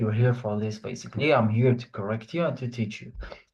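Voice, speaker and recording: A somewhat breathy quality comes through. The tone is dark and mellow. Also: man. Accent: French. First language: French. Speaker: online French teacher. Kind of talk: online class lecture.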